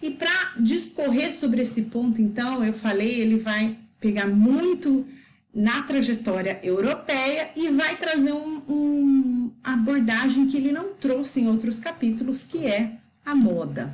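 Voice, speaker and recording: A woman speaks in a high-pitched voice. Her pace is very slow. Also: ordinary pitch variation. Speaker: educator explaining a book. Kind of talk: lecture.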